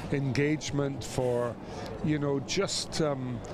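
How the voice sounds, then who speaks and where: Against noticeable background noise, a man with a Scottish accent speaks very slowly at a fairly high pitch. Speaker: former rugby player. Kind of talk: interview.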